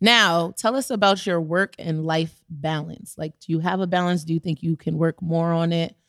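A woman talks in an unremarkable speaking voice, fairly low in pitch with ordinary pitch variation, at a moderate pace with hardly any pauses. The recording is very clean with a silent background and a dry, close sound with no echo. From Brooklyn, New York. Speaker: podcast co-host. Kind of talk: casual chat.

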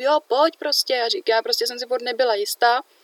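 A woman speaks very fast at a high pitch, her intonation fairly even and the sound dry and close with no echo. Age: young. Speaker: podcast co-host. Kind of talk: casual chat.

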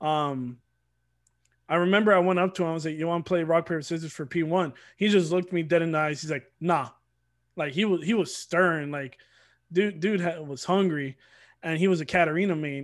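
A man with an American accent talks at a fairly quick pace in a high voice with fairly even intonation. Long, frequent pauses mark his speech on a very clean recording with a silent background. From Georgia, US (Atlanta area). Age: 20s. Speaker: competitive gamer. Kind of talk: casual chat.

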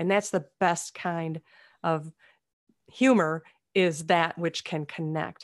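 In a very clean recording with a silent background, a woman with a Minnesotan accent talks at a very slow pace with long, frequent pauses, her fairly low pitch and fairly even intonation heard in a dry, close sound with no echo. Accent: Minnesota. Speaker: comedian and speaker. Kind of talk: interview conversation.

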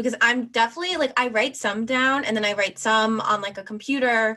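A woman speaks at a moderate pace with a fairly high pitch and ordinary pitch variation. Hers is an unremarkable speaking voice. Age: 20s. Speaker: podcast co-host and producer. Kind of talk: casual chat.

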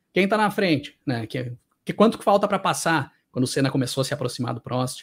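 On a very clean recording with a silent background, a man with a Brazilian accent speaks with lively intonation. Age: 30s. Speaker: YouTuber on motorsport and music. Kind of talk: interview conversation. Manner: animated.

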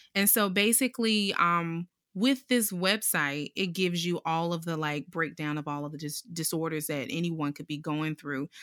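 An ordinary speaking voice with an American accent moves at a moderate pace with hardly any pauses and ordinary pitch variation, in a very clean, dry, close recording with a silent background and no echo. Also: woman, fairly low pitch for a woman. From US South, Durham, North Carolina. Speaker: performer. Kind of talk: casual panel discussion.

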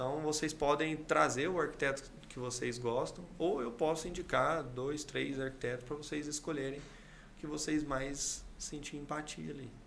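A man's fairly high voice with vocal fry and fairly even intonation, at a moderate pace with hardly any pauses, amid audible room echo. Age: 30s. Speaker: civil engineer and builder. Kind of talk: interview.

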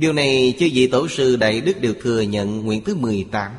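Somewhat breathy, a man with medium pitch speaks at a fairly slow pace with lively intonation. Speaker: narrator of a translated Buddhist lecture. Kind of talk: reading aloud a Buddhist sermon. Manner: formal.

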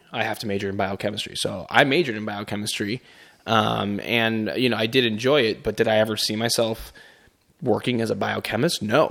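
Speaking with an American accent, a man talks at a fairly quick pace in a fairly low voice with vocal fry. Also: ordinary pitch variation. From Chicago. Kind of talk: casual chat.

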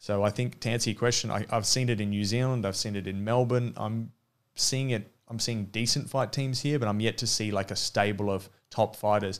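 A man speaks at a fairly quick pace with a fairly low pitch and fairly even intonation. The recording is very clean, with a silent background. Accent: Australian. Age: 30s. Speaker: former mixed martial arts fighter and coach. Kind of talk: casual interview.

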